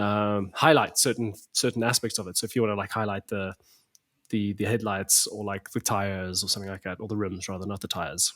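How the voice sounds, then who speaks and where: A man talks at a fairly quick pace in a fairly low pitch with a South African accent. The recording is very clean, with a silent background. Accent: South African (Afrikaans) English. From South Africa, Pretoria. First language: Afrikaans. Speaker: photographer. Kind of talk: casual chat. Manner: animated, many repetitions and fillers.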